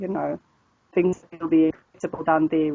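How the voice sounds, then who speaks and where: With a northern South African accent, a woman talks at a fairly quick pace and a fairly low pitch. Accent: northern Afrikaans. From South Africa, northern Pretoria area. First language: Afrikaans. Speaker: online language tutor. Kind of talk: casual interview. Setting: video call. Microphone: crackly Skype connection.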